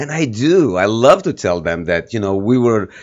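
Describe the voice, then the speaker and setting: A man with a slight Armenian accent talks at a moderate pace in a fairly low pitch. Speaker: filmmaker and activist. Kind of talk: interview.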